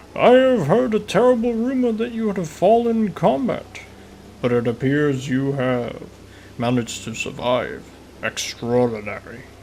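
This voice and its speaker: A man uses a put-on character voice at a high pitch with very wide pitch swings. Clear background noise runs behind him. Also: moderate pace. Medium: solo performance. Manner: formal, stately, booming warmth.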